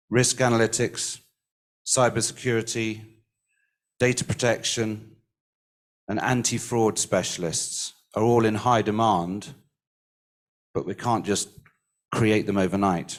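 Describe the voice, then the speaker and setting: With an English accent, a man speaks at a fairly slow pace in a medium-pitched voice, with fairly even intonation and long, frequent pauses. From England. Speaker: recruitment industry speaker. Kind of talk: conference panel remarks. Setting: livestreamed summit.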